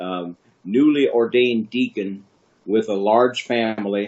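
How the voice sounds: Man with a fairly low pitch and a slightly mellow tone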